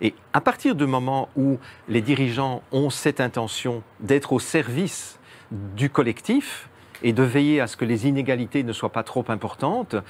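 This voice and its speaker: Speaking at a fairly slow pace, a man uses an unremarkable speaking voice with medium pitch and ordinary pitch variation. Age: 60s. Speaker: guest commentator on social engineering. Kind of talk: interview discussion.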